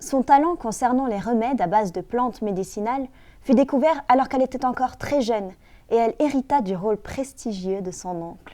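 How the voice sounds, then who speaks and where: The delivery moves at a fairly quick pace with lively intonation. Its tone is dark and mellow. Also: woman, high pitch for a woman. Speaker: author reading her own book. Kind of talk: children's story reading.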